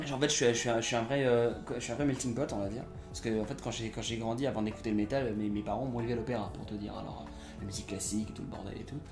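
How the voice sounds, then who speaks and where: Music plays behind a man speaking at a very fast pace. His voice sits at a medium pitch. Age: 20s. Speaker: actor and voice dubber. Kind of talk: interview answer. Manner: casual, enthusiastic.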